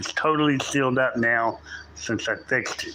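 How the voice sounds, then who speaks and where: A man with a medium pitch talks at a moderate pace with fairly even intonation. Noticeable background noise runs underneath. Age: 60s. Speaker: live streamer doing home repairs. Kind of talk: casual live stream chat. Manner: rambling, halting with repeats.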